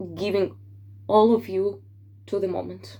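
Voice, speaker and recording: Woman with a non-native accent, very deep and low in pitch, at a fairly slow pace. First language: not English. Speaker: tarot reader. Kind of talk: tarot forecast monologue. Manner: hesitant with fillers.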